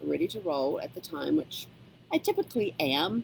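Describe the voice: A woman's husky, rough-edged, slightly mellow voice with vocal fry, big pitch swings and a moderate pace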